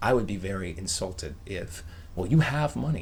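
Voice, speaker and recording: The voice belongs to a man. There is audible room echo. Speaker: online video creator. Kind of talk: casual vlog monologue. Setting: bedroom at home. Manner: whispering.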